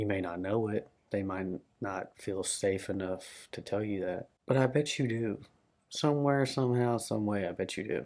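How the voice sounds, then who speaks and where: In a Southern US accent, the speaker talks at a moderate pace with ordinary pitch variation against a quiet background. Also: man, fairly low pitch for a man. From Arkansas, Little Rock area. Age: 20s. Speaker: vlogger. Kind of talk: personal vlog monologue.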